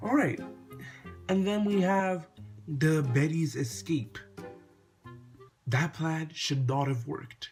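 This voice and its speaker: Music plays behind the voice. A man talks with lively intonation. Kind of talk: casual review talk to camera.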